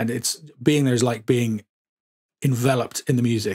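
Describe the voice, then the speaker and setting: Spoken with a southern English accent and ordinary pitch variation. The sound is dry and close with no echo, on a very clean recording with a silent background. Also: man. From England, Suffolk. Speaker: podcast host. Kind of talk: casual chat. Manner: hesitant, many fillers.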